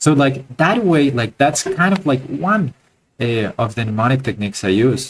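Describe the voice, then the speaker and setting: A man speaks with a non-native accent. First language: not English. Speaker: art teacher. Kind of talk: live online class. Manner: halting, many fillers and repeats.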